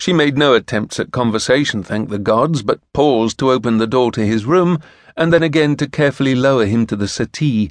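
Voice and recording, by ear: The voice reads aloud naturally.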